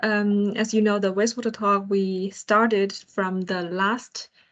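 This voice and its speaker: A woman with a Chinese accent speaks at a very slow pace in a medium pitch. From China. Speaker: project engineer and co-host. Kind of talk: online roundtable talk. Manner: halting, many fillers.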